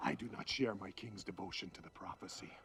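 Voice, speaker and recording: Doing a put-on character voice, a man speaks very fast at a fairly low pitch with big swings in loudness over clear background noise. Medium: short film. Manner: stern, formal.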